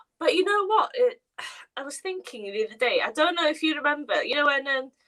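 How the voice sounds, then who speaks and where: At a fairly quick pace, a woman speaks in a high pitch with very wide pitch swings and big swings in loudness. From Wales. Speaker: makeup artist. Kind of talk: casual chat. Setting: livestream.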